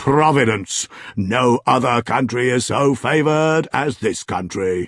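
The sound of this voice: Unforced reading voice, intonation lively throughout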